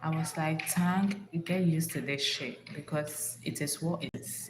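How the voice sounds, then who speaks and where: Speaking in a Ghanaian accent, a woman has a very deep, low pitch with ordinary pitch variation. She goes at a very slow pace. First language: Ga. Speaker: relationship advice vlogger. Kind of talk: casual livestream talk. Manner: animated; halting.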